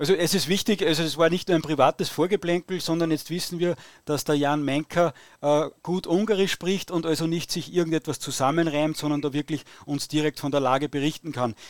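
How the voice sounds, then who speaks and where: With an Austrian accent, a man talks at a fairly quick pace in a fairly high pitch, his intonation fairly even. The sound is dry and close with no echo, and the recording is very clean over a silent background. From Austria, Upper Austria. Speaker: podcast host. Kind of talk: interview. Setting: live stream.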